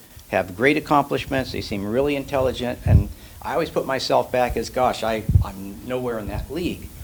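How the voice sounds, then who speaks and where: Over music in the background, the speech races at a very fast pace with ordinary pitch variation. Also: man. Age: 60s. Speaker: church attendee. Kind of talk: group discussion. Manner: halting.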